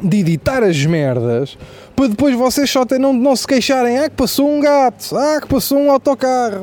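Amid noticeable background noise, a man with an extremely high-pitched voice speaks at a moderate pace. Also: ordinary pitch variation. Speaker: comedian. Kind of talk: comedic monologue. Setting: outdoors. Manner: animated.

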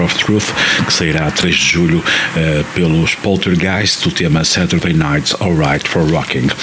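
Over noticeable background noise, a man with a very deep, low pitch talks at a fairly slow pace. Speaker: radio host. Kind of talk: radio DJ patter, announcing tracks and bands between songs. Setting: radio studio. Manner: brisk, clear, matter-of-fact presenter delivery.

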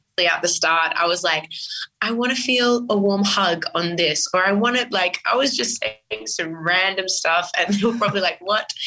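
A woman with an Australian accent at medium pitch, with ordinary pitch variation, a moderate pace and very even loudness. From Sydney, Australia (Western Sydney). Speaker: singer. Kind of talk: interview.

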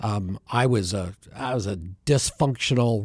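A man with an American accent at medium pitch, very slow, with ordinary pitch variation, in a very clean recording with a silent background. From Bend, Oregon, US Pacific Northwest. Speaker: ministry area director, former broadcaster. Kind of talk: radio interview, conversational. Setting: studio.

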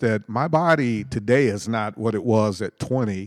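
Recorded very cleanly against a silent background, this man has a normal speaking voice at medium pitch, dry and close with no echo, moving at a moderate pace with ordinary pitch variation. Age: 60s. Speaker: co-host. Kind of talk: casual religious discussion.

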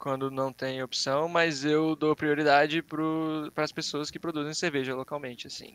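A man talks slowly-ish with a fairly high pitch and a bright, sharp tone. His intonation stays fairly even, and the sound is dry and close with no echo. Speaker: advertising designer and art director. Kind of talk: casual live-stream chat.

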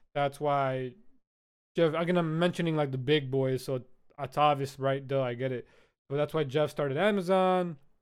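A man speaks at a moderate pace with fairly even intonation and a fairly high pitch. He has a plain, everyday voice. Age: 20s. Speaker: podcast host. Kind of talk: casual chat.

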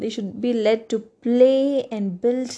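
A woman with a Kannada accent, fairly high in pitch, at a fairly slow pace against a quiet background. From India. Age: 20s. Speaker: podcaster, student. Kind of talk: solo monologue.

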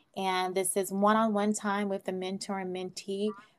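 Against a silent background in a very clean recording, a woman with an American accent speaks in a monotone, flat intonation. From US West Coast, Oakland, California. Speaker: nonprofit founder. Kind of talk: interview.

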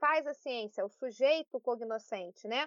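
A woman with a high voice talks at a very slow pace. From Brazil, Petrópolis (Rio de Janeiro state). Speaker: sociology teacher. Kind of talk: interview.

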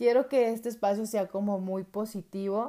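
The tone is dark and mellow, with fairly even intonation and a fairly slow pace. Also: woman. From Mexico, Jalisco. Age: 30s. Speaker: podcast host. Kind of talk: personal podcast monologue. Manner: halting.

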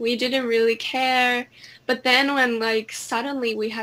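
A woman's fairly high voice in a Finnish accent, with fairly even intonation. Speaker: singer. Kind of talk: casual chat.

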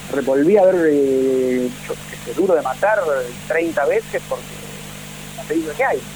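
Fairly slow speech with an Argentine accent, long, frequent pauses and noticeable background noise. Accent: Rioplatense Argentine Spanish. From Argentina. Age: 40s. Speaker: film director. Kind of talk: interview.

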